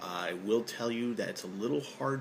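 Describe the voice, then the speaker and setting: Noticeable background noise sits under a man's voice, which shows ordinary pitch variation. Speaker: review channel host. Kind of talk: casual review talk to camera.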